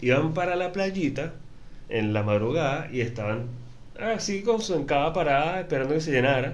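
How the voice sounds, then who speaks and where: The speaker talks at a moderate pace with lively intonation, and there is audible room echo. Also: man, fairly high pitch for a man. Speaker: podcast host. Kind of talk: casual chat.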